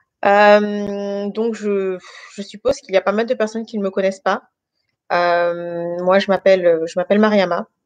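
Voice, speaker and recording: Her pace is fairly slow. This woman's voice sits at a medium pitch with fairly even intonation. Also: dry, close sound with no echo. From France, Guinean family. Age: 30s. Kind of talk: testimony. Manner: hesitant, many fillers.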